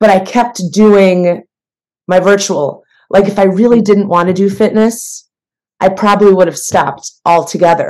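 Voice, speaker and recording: A woman with an American accent has a normal speaking voice, medium in pitch, delivered at a moderate pace with fairly even intonation. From US Midwest. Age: 40s. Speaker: fitness trainer. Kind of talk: casual chat.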